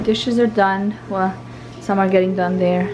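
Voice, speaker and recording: Clear music plays behind a woman who talks at a moderate pace with fairly even intonation. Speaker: mother vlogger. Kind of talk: casual vlog chat. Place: home room. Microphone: phone near.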